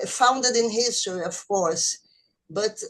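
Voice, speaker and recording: A woman with a Brazilian Portuguese accent speaks with ordinary pitch variation. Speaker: reading group participant. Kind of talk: question in discussion. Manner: halting.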